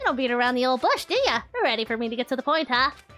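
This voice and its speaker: Over faint background music, a woman rattles off lines very fast in a high-pitched, cartoonish character voice. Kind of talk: cartoonish comic villain voice. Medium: virtual streamer. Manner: playful, giggly, teasing.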